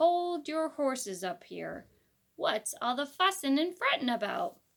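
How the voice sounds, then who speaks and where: A put-on character voice from a woman, high-pitched and at a fairly slow pace, in a very clean recording with a silent background. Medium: read story. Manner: folksy, gently teasing.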